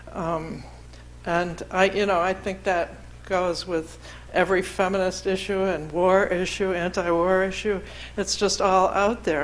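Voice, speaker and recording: Vocal fry runs through a monotone, flat intonation. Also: woman, medium pitch for a woman, fairly slow pace. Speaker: LGBTQ activist, panelist. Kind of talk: panel discussion.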